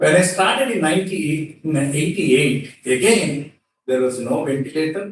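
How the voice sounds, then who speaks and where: Pitch moves up and down in an ordinary way. There is a somewhat breathy quality to the voice. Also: man. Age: 60s. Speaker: cardiologist. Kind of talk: conference speech. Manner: formal; hesitant, frequent fillers.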